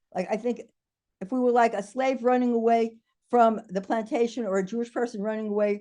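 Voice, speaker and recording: A woman speaks at a fairly quick pace with a New York accent. Her tone is dark and mellow, her intonation fairly even. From New York City (the Bronx). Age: 70s. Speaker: diversity and inclusion consultant. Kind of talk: video call town hall contribution.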